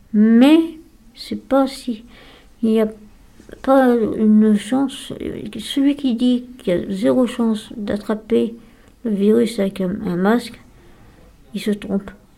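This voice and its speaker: A woman with a dark, mellow tone and a somewhat breathy voice speaks very slowly, using ordinary pitch variation and long, frequent pauses. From France, Lyon area. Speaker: day-care psychiatric patient. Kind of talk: radio interview. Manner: halting.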